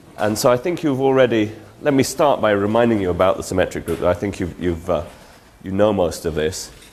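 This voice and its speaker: A man with a fairly low pitch speaks at a fairly quick pace, his pitch swinging very widely, over noticeable background noise. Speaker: mathematics lecturer. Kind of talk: lecture. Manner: halting, many fillers.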